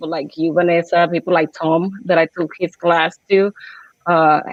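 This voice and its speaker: A woman speaks in a Puerto Rican accent. Her pitch is fairly low and her pace fairly slow. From Puerto Rico. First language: Spanish. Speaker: small business owner. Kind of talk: personal story.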